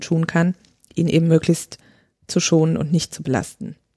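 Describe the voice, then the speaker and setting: A woman's voice comes through somewhat breathy with a dark, mellow tone. The sound is dry and close, with no echo. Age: 30s. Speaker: midwife. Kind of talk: podcast interview.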